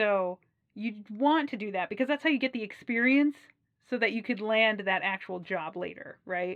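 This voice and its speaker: An animated woman with an American accent, fairly high in pitch, at a moderate pace. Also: ordinary pitch variation. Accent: Wisconsin accent, slight, comes out at times. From US Midwest, Wisconsin. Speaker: aquarium professional and channel host. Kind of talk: casual advice talk to camera.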